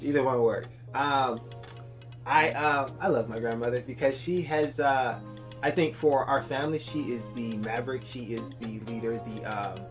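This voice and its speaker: Medium-pitched male speech at a moderate pace, fairly even in intonation, with music in the background. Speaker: podcast host; nurse. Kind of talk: casual podcast intro.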